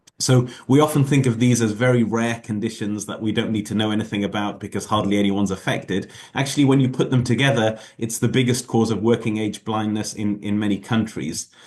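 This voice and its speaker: This man, with a British accent, talks at a fairly quick pace with hardly any pauses, at a medium pitch and with fairly even intonation. The background is quiet. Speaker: ophthalmologist giving invited lecture. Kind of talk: lecture. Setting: video call. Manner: fast; hesitant with many fillers.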